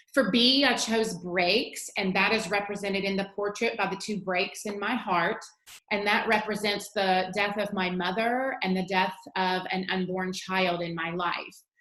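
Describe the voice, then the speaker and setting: A woman with an American accent speaks at a fairly slow pace, with hardly any pauses. Her medium pitch holds fairly even intonation, and audible room echo surrounds her. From Virginia. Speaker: teacher. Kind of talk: tutorial.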